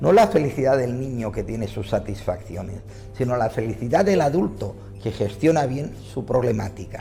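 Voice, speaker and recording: Against background music and audible room echo, a man speaks at a moderate pace and medium pitch with lively intonation. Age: 60s. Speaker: psychologist and author. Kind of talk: interview answers.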